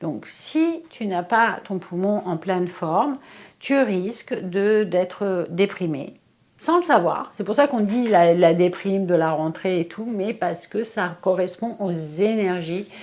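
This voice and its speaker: This woman talks at a very slow pace. Her pitch rises and falls in an ordinary way. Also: medium pitch for a woman. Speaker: face yoga and Chinese energetics practitioner. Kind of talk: tutorial. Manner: casual, hesitant.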